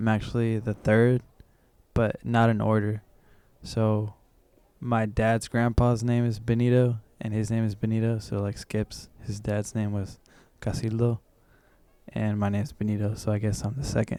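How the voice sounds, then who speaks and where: Speaking at a moderate pace with long, frequent pauses, a man with a Californian accent has a fairly low, dark, mellow voice and flat, monotone intonation. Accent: Californian American English. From San Francisco Bay Area, California. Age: 20s. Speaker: musician. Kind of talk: interview. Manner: casual.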